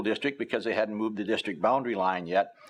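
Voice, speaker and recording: Ordinary pitch variation in a US Midwestern accent. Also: man. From northern Illinois, US Midwest. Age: 70s. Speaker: retired local journalist. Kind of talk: oral history interview. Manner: hesitant, many filler words.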